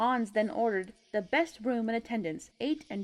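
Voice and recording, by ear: A natural voice reading aloud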